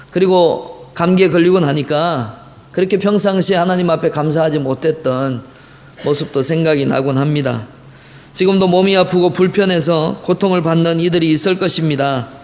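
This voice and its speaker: Despite audible room echo and noticeable background noise, a man holds very even loudness at a high pitch. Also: ordinary pitch variation, moderate pace. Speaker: pastor. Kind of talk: sermon. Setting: church.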